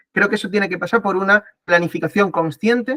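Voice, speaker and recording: This man's tone is bright and sharp, with ordinary pitch variation. The recording sounds dry and close, without any echo. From Spain. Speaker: political science professor. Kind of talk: online talk / lecture. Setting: video call. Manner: fast; hesitant, many fillers.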